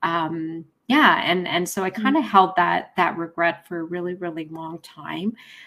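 A woman with a Canadian accent, fairly low in pitch, at a fairly slow pace. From Canada, Winnipeg (prairies) then Ontario. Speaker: author. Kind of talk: interview. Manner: halting, many fillers and repetitions.

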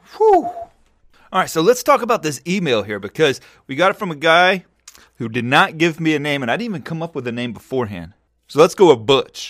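In a very clean recording with a silent background, a man talks at a fairly quick pace with lively intonation. He has a normal speaking voice. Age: 40s. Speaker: podcast host, stock trading educator. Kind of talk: casual monologue answering listener email.

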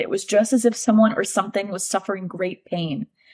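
The tone is animated and somewhat breathy. The pace is moderate. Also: woman. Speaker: podcast host. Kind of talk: casual chat. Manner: animated, excitable.

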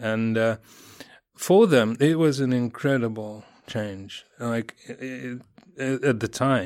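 The speaker has a Russian accent and talks at a very slow pace. Pitch variation is ordinary. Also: man, medium pitch for a man. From Russia, Moscow. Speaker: journalist and editor. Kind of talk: interview answers. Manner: halting, many fillers.

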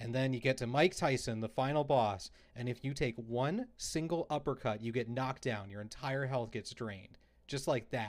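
A man with an ordinary speaking voice talks at a moderate pace, his medium pitch showing ordinary variation. The recording is very clean, with a silent background. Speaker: video game podcast host. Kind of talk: casual chat.

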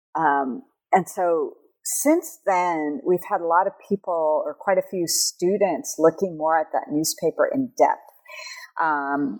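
Very slow speech in an American accent, with a dry, close sound and no echo. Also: woman. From California. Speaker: professor. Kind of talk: interview. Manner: hesitant, many fillers.

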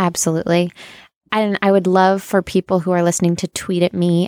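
An ordinary speaking voice at a fairly quick pace, very clean recording with a silent background. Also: woman, dry, close sound with no echo. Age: 20s. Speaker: podcast host. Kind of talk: casual interview chat.

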